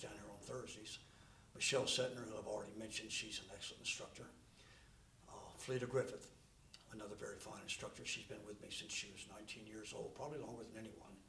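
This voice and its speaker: There is audible room echo around this voice. A man talks at a very fast pace. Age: 70s. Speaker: martial arts instructor. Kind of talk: interview.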